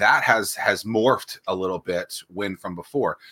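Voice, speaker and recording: On a very clean recording with a silent background, a man's voice sounds dry and close with no echo. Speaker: podcast co-host. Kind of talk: casual banter.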